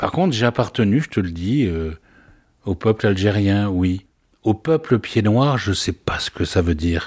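With an ordinary speaking voice, a man talks at a fairly slow pace and fairly low pitch, his intonation lively. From Algeria (Oran), pied-noir. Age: 60s. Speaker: father recounting childhood memories. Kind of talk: personal testimony interview.

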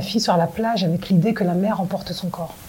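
There is noticeable background noise as a woman delivers her words at a fairly quick clip. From France. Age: 40s. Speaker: film director. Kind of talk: interview. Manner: halting.

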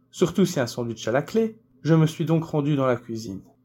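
This voice has a dark, mellow tone, a moderate pace and ordinary pitch variation. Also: man. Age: 30s. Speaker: actor, director and author. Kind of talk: interview answers, seemingly read.

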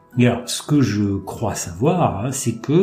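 Over music in the background, a man speaks at a fairly slow pace and a medium pitch. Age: 50s. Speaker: kidney transplant patient. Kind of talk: testimony. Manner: halting.

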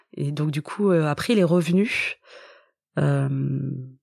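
A woman's very deep, low voice with ordinary pitch variation and a dry, close sound free of echo. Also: very clean recording, silent background. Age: 40s. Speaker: author. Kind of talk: testimony. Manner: halting.

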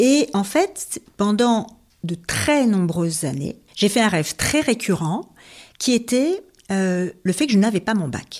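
A woman at a medium pitch, with very wide pitch swings, a very slow pace and long, frequent pauses. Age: 50s. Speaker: HR consultant and professional coach. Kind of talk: interview conversation. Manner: hesitant fillers.

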